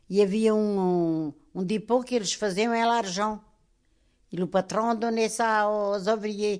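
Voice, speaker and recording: The voice moves at a very slow pace with fairly even intonation against a quiet background. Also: woman, fairly high pitch for a woman. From Portugal. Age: 80s+. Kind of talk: interview answer.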